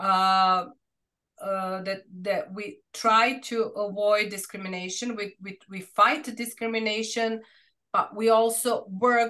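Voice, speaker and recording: In a Serbian accent, the speaker uses a bright, sharp tone at a very slow pace, with fairly even intonation, big swings in loudness and a quiet background. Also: woman, fairly high pitch for a woman. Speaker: researcher presenting a study. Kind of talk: academic seminar Q&A discussion. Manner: halting, many fillers and restarts.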